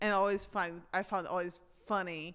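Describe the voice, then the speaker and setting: A woman with a strong Brazilian accent talks at a moderate pace in a fairly low pitch, her tone bright and sharp and her intonation monotone and flat. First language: Portuguese. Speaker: personal trainer. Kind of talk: casual chat.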